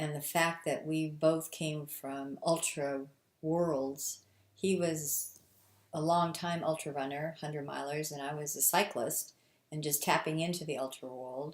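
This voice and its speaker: The voice moves at a fairly slow pace in a monotone, flat intonation. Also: woman, very deep, low pitch for a woman. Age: 60s. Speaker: ultra runner. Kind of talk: documentary interview.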